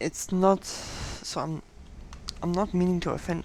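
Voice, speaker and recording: Over noticeable background noise, a woman with a German accent speaks at a very deep, low pitch. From Germany. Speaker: gaming youtuber. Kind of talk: gameplay commentary. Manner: casual, hesitant with fillers.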